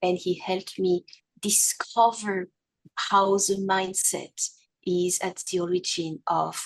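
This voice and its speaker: A woman with a medium pitch speaks in a French accent. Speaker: abuse survivor and podcast host. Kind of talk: testimony.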